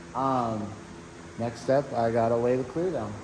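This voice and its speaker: Background noise is clearly audible. Through it, a man talks. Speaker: auto body painter. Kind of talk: casual talk to camera. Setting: workshop.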